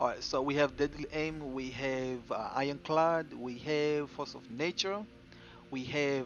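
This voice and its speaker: With music in the background, a man talks at a fairly slow pace, his fairly high pitch varying in an ordinary way. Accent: non-native. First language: not English. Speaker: gaming streamer. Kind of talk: game build tutorial. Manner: casual, repetitive with fillers.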